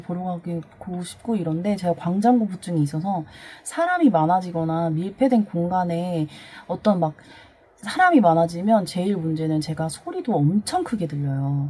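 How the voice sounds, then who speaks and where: Amid noticeable background noise, a woman with a fairly low voice speaks at a moderate pace with ordinary pitch variation. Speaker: vlogger. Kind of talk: personal testimony. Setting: home storage room. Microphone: voice recorded very quietly, gain boosted in editing.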